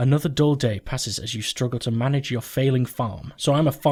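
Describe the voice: Reading aloud, done plainly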